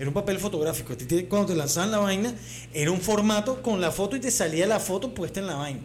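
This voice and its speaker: A man with a Caracas accent, high-pitched and very fast, with lively intonation, audible room echo and noticeable background noise. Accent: Venezuelan Spanish (Caracas). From Venezuela. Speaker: comedy podcast co-host. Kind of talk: casual chat.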